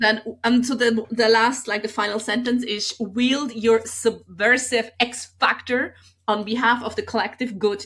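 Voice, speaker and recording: A woman talks at a moderate pace with a fairly high pitch and fairly even intonation. It is a normal speaking voice. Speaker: comedian and podcast host. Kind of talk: casual podcast talk.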